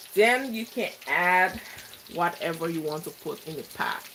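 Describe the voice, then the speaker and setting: A woman speaks at medium pitch with a Liberian accent, at a moderate pace. Noticeable background noise runs underneath. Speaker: cooking vlogger. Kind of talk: live cooking tutorial.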